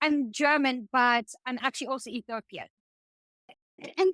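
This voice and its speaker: A woman's high, raised and projected voice, bright and sharp in tone, with a dry, close sound and no echo. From South Africa. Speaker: podcast co-host. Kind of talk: casual chat.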